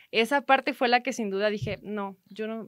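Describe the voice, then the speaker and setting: A woman has a normal speaking voice, pitched fairly high, with ordinary pitch variation and a moderate pace. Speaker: entrepreneur and sports photographer. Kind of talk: interview conversation.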